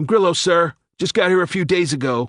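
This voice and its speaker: A man uses a raspy, put-on character voice at a high pitch. He goes at a fairly quick pace in a dry, close sound with no echo. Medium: read story. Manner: respectful, clipped.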